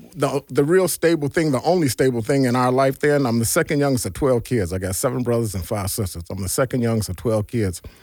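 A man with an American accent speaks at a medium pitch in a normal speaking voice, his intonation lively. The recording is very clean, with a silent background. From US Midwest, Gary, Indiana and Chicago area. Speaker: army veteran. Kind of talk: interview testimony.

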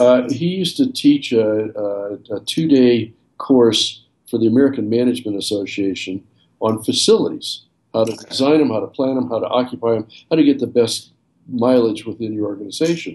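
Moderately paced male speech in a normal speaking voice, medium in pitch, with ordinary pitch variation. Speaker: architect and former firm CEO. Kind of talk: casual interview.

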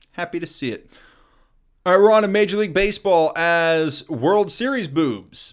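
On a very clean recording with a silent background, a man speaks at a moderate pace with a high pitch and lively intonation. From US Midwest, Kansas City. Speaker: sports podcast host. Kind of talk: solo sports commentary podcast. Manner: casual, conversational.

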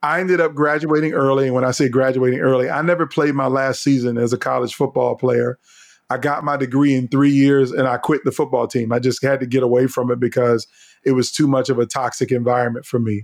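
A man's very fast speech in an American accent, medium in pitch, with fairly even intonation and very even loudness. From Virginia, US. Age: 50s. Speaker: leadership speaker and former political advisor. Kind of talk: interview storytelling.

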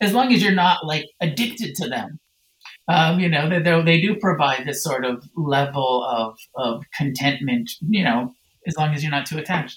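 With an American accent, a man uses a normal speaking voice at a fairly high pitch. He speaks at a moderate pace with lively intonation. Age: 50s. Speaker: Buddhist teacher and author. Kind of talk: interview.

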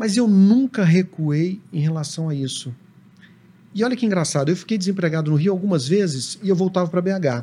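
The voice has a dark, mellow tone and ordinary pitch variation. Its pace is moderate. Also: man, high pitch for a man. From Brazil, Belo Horizonte (Minas Gerais). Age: 40s. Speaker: TV drama director. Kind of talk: casual chat.

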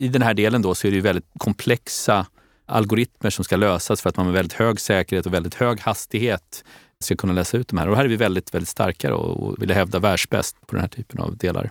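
An unremarkable speaking voice moves at a fairly quick pace with fairly even intonation, its sound dry and close with no echo on a very clean recording with a silent background. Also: man, fairly low pitch for a man. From Stockholm, Sweden. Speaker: company CEO. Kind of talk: interview.

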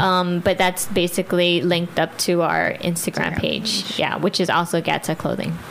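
A woman's fairly low, monotone voice with flat intonation over noticeable background noise. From Guam. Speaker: clothing brand owner and nurse. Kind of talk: interview. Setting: studio. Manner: hesitant, many fillers.

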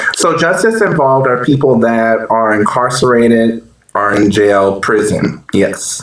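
A man's medium-pitched voice at a fairly slow pace, with ordinary pitch variation, very even loudness and noticeable background noise. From New Orleans, Louisiana. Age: 30s. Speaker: nonprofit case manager. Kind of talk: podcast interview.

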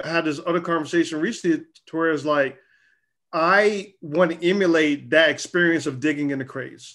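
An unremarkable speaking voice from a man with an American accent, fairly high in pitch, with fairly even intonation and a fairly quick pace. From US South, Charlotte, North Carolina. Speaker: publisher and creative director. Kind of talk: casual interview.

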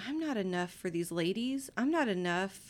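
A woman with a Texan accent at a fairly slow pace on a very clean recording with a silent background. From East Texas. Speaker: guest, mother. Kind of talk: casual chat.

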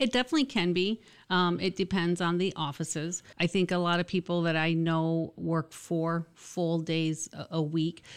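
A woman with an American accent speaks in a plain, everyday voice at a moderate pace. Her pitch is fairly low, her intonation fairly even. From Michigan. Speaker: college dean. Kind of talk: casual interview.

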